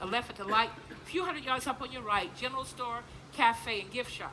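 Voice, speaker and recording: A woman with an American accent talks at a very fast pace in a high, animated voice with ordinary pitch variation. Noticeable background noise is present. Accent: Gullah Geechee dialect. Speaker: plantation tour guide and cultural presenter. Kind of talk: live presentation to visitors. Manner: animated, conversational storytelling.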